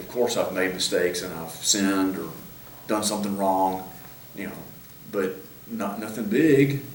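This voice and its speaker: Noticeable background noise and audible room echo around fairly slow speech. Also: man. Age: 60s. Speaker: judge. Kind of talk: interview. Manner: halting.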